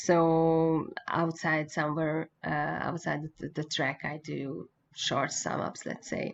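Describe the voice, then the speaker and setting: A woman speaks very slowly in a Hungarian accent, her pitch very deep and low and her intonation monotone and flat. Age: 40s. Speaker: motorcycle racing journalist and former racer. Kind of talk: interview. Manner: halting.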